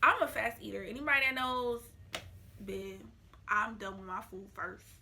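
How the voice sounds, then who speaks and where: A woman's voice with big swings in loudness comes through over noticeable background noise. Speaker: vlogger. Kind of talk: casual vlog talk to camera. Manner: talking slower because of new braces.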